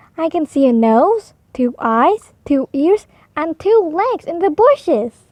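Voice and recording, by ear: In a put-on character voice, a woman with a high pitch and big pitch swings speaks at a slow pace with a slightly mellow tone in a dry, close sound with no echo.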